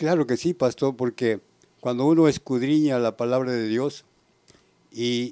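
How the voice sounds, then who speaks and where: Recorded very cleanly against a silent background, with a dry, close sound and no echo, a man speaks at a fairly slow pace in a medium pitch and dark, mellow tone, his intonation fairly even and broken by long, frequent pauses. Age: 70s. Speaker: church member. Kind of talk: panel discussion.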